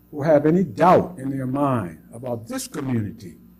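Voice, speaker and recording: A man's dark, mellow voice at a moderate pace, with lively intonation. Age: 70s. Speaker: longtime community member. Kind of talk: testimony.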